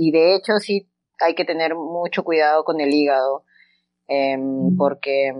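A woman's very deep, low voice, fairly slow, with ordinary pitch variation. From Peru, Huancayo. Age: 30s. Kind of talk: interview.

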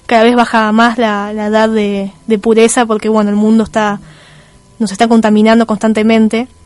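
The woman's voice sits fairly high and moves at a moderate pace. Her intonation stays monotone and flat. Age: 30s. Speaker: radio host. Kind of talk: radio talk show monologue.

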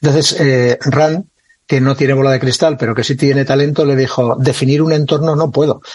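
At a fairly quick pace, a man with a fairly high pitch talks in a somewhat breathy voice, his pitch varying in an ordinary way. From Catalonia, Spain (Lleida). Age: 60s. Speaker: retired army officer and author. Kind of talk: interview conversation.

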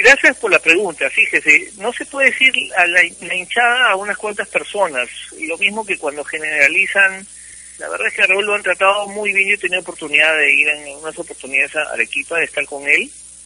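Over noticeable background noise, a man talks at a fairly quick pace in a high voice with lively intonation. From Peru, Cusco. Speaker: football player agent. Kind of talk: phone interview. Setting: phone call.

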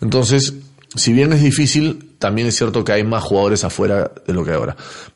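A man speaks in an ordinary speaking voice at medium pitch. His pace is moderate and his intonation lively. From Peru. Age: 40s. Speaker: former footballer and football pundit. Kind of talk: casual interview.

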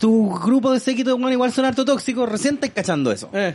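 An animated man with a Chilean accent, extremely high pitch and a fairly quick pace. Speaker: podcast host. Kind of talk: casual chat.

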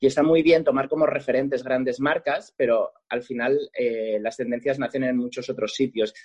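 A plain, everyday voice from a man, pitched at a medium level, its pitch variation ordinary. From Catalonia, Lleida province. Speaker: makeup artist. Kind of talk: interview.

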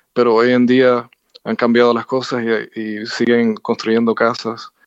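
A man speaks at a fairly slow pace in a monotone, flat intonation. The sound is dry and close with no echo, and the background is quiet. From Cuba (Havana). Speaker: jazz pianist and composer. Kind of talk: interview. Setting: phone call. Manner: halting, many fillers and repetitions.

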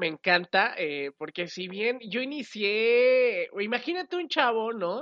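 Using very wide pitch swings, a woman with a Mexican accent speaks very slowly at a fairly high pitch. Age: 20s. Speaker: radio and TV presenter. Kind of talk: casual interview.

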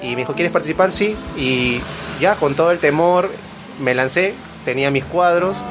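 Against noticeable background noise, the speech goes at a moderate pace with ordinary pitch variation and long, frequent pauses. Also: man, fairly high pitch for a man. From Lima, Peru. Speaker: graphic designer and small business owner. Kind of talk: casual interview. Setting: studio.

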